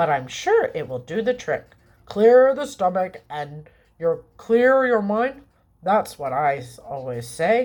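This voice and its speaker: Using a put-on character voice at a medium pitch, a woman speaks at a fairly slow pace with very wide pitch swings and big swings in loudness. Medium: read story. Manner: hearty, condescending.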